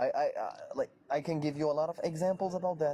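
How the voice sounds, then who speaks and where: Here a man talks with an Arabic accent. His pitch is fairly high. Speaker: debater on Islam. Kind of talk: heated debate.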